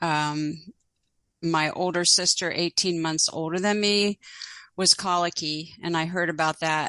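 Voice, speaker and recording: A woman with an American accent speaks at a moderate pace, her pitch fairly low and her intonation fairly even. The tone is bright and sharp, the sound dry and close with no echo, over a quiet background. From Pittsburgh, Pennsylvania, US. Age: 70s. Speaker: author and retired nurse. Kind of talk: interview, personal storytelling.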